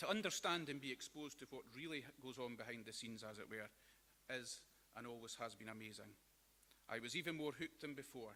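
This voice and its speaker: Speaking with a West Lothian accent, a man at medium pitch talks at a fairly quick pace, his tone bright and sharp with ordinary pitch variation. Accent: Scottish (West Lothian). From Scotland, Linlithgow. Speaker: celebrant, after-dinner speaker. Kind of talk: after-dinner speech. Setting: breakfast hall with audience.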